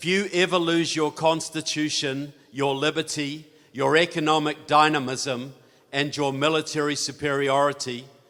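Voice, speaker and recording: With a New Zealand accent, a man speaks fairly slowly at a fairly high pitch and with fairly even intonation. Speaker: author and speaker on politics. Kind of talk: conference talk. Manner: conversational, with filler words.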